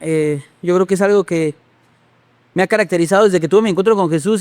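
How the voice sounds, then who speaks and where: A high-pitched male voice at a fairly quick pace, fairly even intonation, dry and close with no echo. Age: 30s. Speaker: pastor. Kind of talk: testimony.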